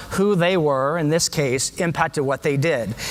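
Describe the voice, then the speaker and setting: A man with an American accent talks at a fairly high pitch. Noticeable background noise can be heard. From US, San Diego. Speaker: education speaker, former teacher. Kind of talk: conference talk. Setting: stage with audience. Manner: animated.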